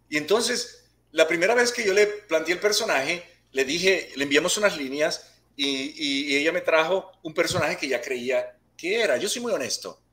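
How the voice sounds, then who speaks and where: This man's voice is high in pitch, with lively intonation. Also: moderate pace. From Puerto Rico. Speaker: actor and martial arts instructor. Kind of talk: interview. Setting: video call.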